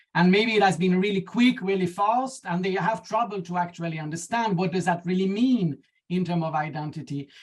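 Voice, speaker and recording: The speaker has a French accent and a fairly quick pace. There are hardly any pauses. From France. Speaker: academic researcher panelist. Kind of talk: panel discussion. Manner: halting, many fillers.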